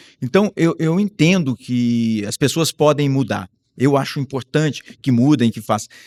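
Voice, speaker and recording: In a very clean recording, dry and close with no echo over a silent background, a man with an ordinary speaking voice talks at a moderate pace in a fairly high pitch. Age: 60s. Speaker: professor. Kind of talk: interview.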